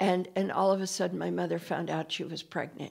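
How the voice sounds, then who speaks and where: A woman speaks in a medium pitch with vocal fry and an American accent. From Idaho. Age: 70s. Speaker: local activist. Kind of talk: interview. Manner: halting.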